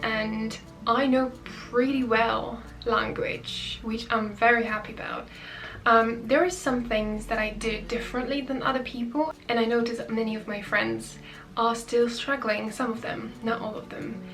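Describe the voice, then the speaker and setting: Over noticeable background noise and audible room echo, a woman talks at a fairly slow pace with a fairly high pitch and fairly even intonation. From Poland. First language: Polish. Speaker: YouTuber. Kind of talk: casual vlog talk. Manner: hesitant with filler sounds.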